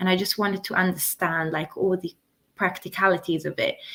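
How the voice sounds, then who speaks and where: The speaker talks at a moderate pace in an Italian accent, using fairly even intonation. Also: woman. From Italy. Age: 20s. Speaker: interview guest sharing health story. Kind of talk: interview testimony. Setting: YouTube live stream.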